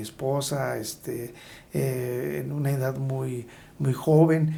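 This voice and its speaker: Somewhat breathy and dark, mellow in tone, a man at medium pitch speaks with audible room echo. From Hidalgo, Mexico. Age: 60s. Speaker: agrarian government official. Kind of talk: interview.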